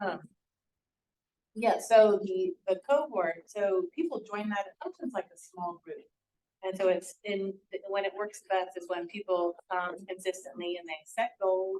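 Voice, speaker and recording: The voice has a dark, mellow tone and a fairly slow pace, with big swings in loudness, ordinary pitch variation and a dry, close sound with no echo. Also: woman, medium pitch for a woman. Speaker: nonprofit housing organization representative. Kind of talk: community meeting presentation.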